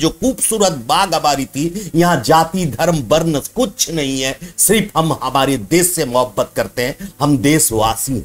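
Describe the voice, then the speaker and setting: A man with an Odia accent, fairly high pitch and lively intonation. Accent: Odia-accented Hindi. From Odisha, India (Baripada area). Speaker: social commentator vlogger. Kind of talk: social commentary monologue.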